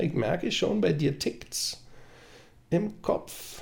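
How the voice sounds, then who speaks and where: Vocal fry marks the voice of a man speaking in a Berlin accent. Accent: Berlin accent, noticeable. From Berlin (Prenzlauer Berg). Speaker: TV sports journalist. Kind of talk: casual chat.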